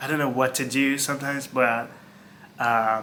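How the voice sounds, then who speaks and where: A man with a Turkish accent speaks at a moderate pace. Noticeable background noise is present. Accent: Turkish-accented English, non-native. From Turkey. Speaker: former hotel worker. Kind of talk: casual talk to camera.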